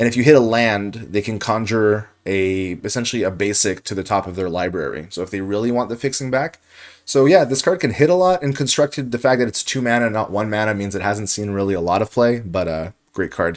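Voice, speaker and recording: Mumbling at a very fast pace, a man with a fairly low pitch uses lively intonation. The recording is very clean, with a silent background. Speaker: card game draft commentator. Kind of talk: gameplay commentary.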